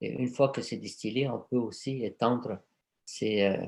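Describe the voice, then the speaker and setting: Against a quiet background, a man speaks at a very slow pace with vocal fry, medium pitch and fairly even intonation. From Egypt, Cairo. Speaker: aromatherapist. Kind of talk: conference talk and Q&A. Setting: video conference. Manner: hesitant, many fillers and repetitions.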